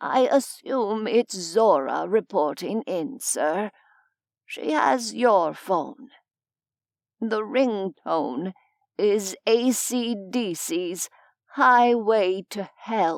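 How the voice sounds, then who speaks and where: Delivered in a put-on character voice at a very slow pace, the lively intonation sounds dry and close with no echo. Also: woman, medium pitch for a woman. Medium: read story. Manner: formal, dry.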